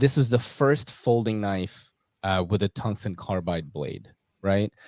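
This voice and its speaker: In a very clean recording with a silent background, a man speaks with an American accent. His pitch is fairly low with ordinary variation, and his pace fairly slow. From New York City, US. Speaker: knife YouTuber, podcast host. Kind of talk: casual interview chat.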